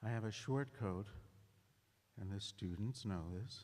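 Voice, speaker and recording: A man speaks with a dark, mellow tone. His pitch is fairly low, with ordinary variation. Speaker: medical school faculty speaker. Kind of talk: ceremony speech.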